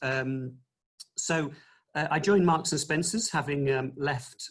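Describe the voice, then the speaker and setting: With an English accent, a man talks at a moderate pace in a fairly high, somewhat breathy voice. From England, Nottingham. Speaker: retail executive. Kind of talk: webinar presentation. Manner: hesitant, many fillers.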